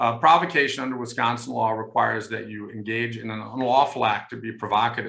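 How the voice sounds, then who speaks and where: The man's tone is bright and sharp, with vocal fry at a medium pitch. He moves at a fairly quick pace with fairly even intonation. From Germany. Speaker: law professor. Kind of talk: panel discussion. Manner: hesitant, many fillers.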